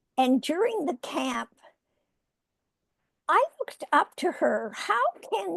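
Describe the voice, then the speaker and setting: In a Canadian accent, a woman speaks very slowly, and the sound is dry and close with no echo. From Canada. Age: 80s+. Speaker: retired healthcare executive and author. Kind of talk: interview.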